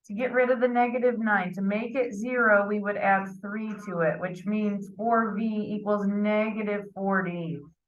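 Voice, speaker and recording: With audible room echo, a woman at a medium pitch speaks at a moderate pace and fairly even intonation. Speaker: math teacher. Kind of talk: lecture.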